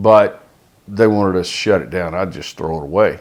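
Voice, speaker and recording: A man's fairly low voice with an American accent, at a moderate pace. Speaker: school administrator. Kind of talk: casual chat.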